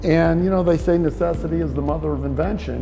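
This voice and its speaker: A man talks fairly quickly while music plays behind him. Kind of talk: interview answer. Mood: upbeat, proud storytelling. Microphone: lapel.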